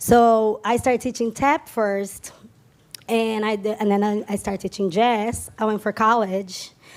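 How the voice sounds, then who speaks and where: A woman speaks at a fairly slow pace in a fairly high voice. She has a strong Brazilian accent. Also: fairly even intonation. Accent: Brazilian Portuguese, thick. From Brazil, São Paulo area. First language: Portuguese. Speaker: tap dancer and dance teacher. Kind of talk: stage interview. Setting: stage with audience.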